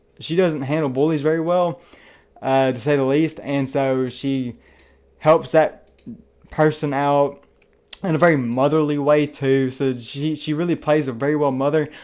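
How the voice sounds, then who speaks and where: With an American accent, a man speaks at a fairly high pitch and a moderate pace in a flat, monotone way. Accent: Southern US, can get heavy. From US South. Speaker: movie reviewer, YouTuber. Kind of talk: casual movie review monologue. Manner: casual, filler-heavy with frequent uh and like.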